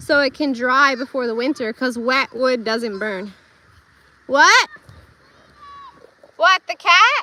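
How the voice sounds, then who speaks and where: A woman's high-pitched voice is raised and projected. Noticeable background noise runs underneath. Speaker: homesteader livestreamer. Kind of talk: casual live stream walkthrough. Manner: stumbles over words, stutters.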